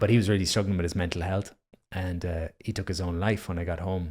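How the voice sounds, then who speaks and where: Speaking with an Irish accent, a man uses a very deep, low, somewhat breathy voice at a fairly quick pace. The recording is very clean, with a silent background. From Ireland. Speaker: breathwork instructor. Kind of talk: casual chat.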